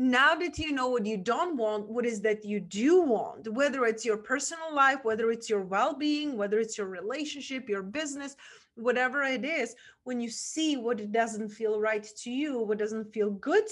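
A woman with a Czech accent, fairly high pitch, ordinary pitch variation and a moderate pace. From Czech Republic. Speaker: podcast host and mindset coach. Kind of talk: interview conversation. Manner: animated.

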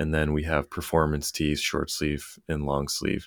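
Speaking with an American accent at a fairly slow pace, a man has a very deep, low pitch and monotone, flat intonation in a very clean recording with a silent background. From Maine, US. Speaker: apparel brand founder. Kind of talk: interview conversation.

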